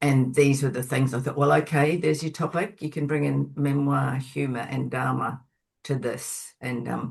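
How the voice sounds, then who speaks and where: A woman speaks at a very deep, low pitch with vocal fry. Her pace is moderate. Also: ordinary pitch variation. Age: 70s. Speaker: author and Buddhist practitioner. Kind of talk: webinar interview.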